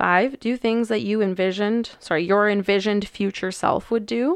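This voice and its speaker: Speaking at a moderate pace, this woman has an unremarkable speaking voice, with a medium pitch and ordinary pitch variation. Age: 20s. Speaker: podcast co-host. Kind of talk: casual chat.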